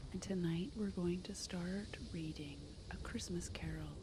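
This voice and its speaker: Noticeable background noise sits behind the voice. A woman speaks softly over it. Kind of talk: read story. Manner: soft-spoken.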